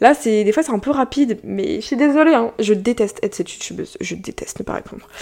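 Over noticeable background noise, a woman with a fairly high pitch talks very fast with lively intonation, big swings in loudness and hardly any pauses. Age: young. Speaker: YouTuber and podcast host. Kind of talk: casual solo podcast talk.

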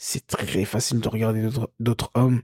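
A man's somewhat breathy voice, dry and close with no echo, in a very clean recording over a silent background. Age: 30s. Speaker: podcast co-host, coach. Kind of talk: casual chat. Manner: halting.

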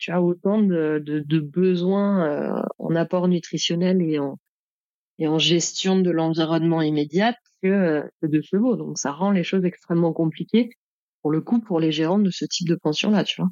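In a dry, close recording with no echo, a woman with a fairly low pitch and a dark, mellow tone speaks at a fairly slow pace with fairly even intonation. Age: 30s. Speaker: saddle fitter and trainer. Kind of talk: casual interview.

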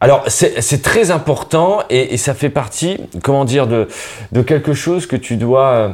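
A man speaks at a very slow pace in a fairly high voice. The recording is very clean, with a silent background. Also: lively intonation. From northern France (Nord). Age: 30s. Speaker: comedian. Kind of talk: casual interview.

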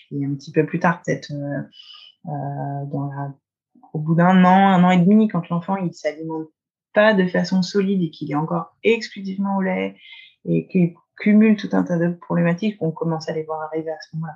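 A woman speaks at a moderate pace with fairly low pitch and ordinary pitch variation. Her voice is somewhat breathy, broken by long, frequent pauses. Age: 30s. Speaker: osteopath. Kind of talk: casual interview.

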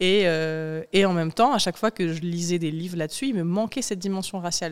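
A woman with a fairly low voice speaks quickly, in an unremarkable speaking voice with ordinary pitch variation. The recording is very clean with a silent background. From France, rural Vaucluse. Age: 20s. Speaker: journalist and author. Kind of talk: interview. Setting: studio.

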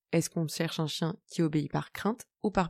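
A woman's fairly low, dark and mellow voice at a fairly quick pace, with ordinary pitch variation, in a very clean recording with a silent background and a dry, close sound with no echo. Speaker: podcast host on dog behaviour. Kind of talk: solo educational podcast.

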